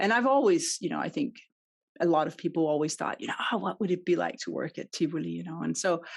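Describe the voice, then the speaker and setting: A woman with a Danish accent against a quiet background. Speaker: customer experience consultant. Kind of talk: podcast interview.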